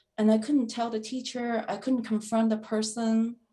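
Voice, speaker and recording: A woman speaks at a moderate pace and a fairly high pitch. Her voice is somewhat breathy. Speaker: foundation founder and lecturer. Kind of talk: interview. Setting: video call. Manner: halting, stuttering.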